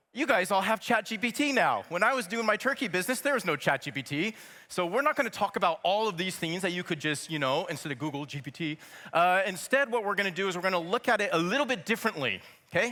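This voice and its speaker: Raised and projected, a man's high-pitched voice with an American accent races at a very fast pace, with lively intonation and an upbeat, bright, sharp tone. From United States. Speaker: startup program director, keynote speaker. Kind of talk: keynote talk. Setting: stage with audience. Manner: casual, upbeat with filler words.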